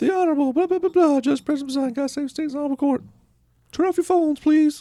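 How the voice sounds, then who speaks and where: In a high-pitched, put-on character voice, the speaker rattles along at a very fast pace. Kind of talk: formal, mock-official. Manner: rote, bored.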